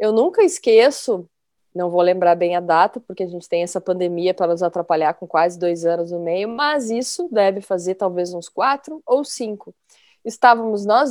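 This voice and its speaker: At a moderate pace, a woman speaks in a dark, mellow tone at medium pitch with ordinary pitch variation. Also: dry, close sound with no echo. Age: 50s. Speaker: podcast host, journalist. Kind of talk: casual chat.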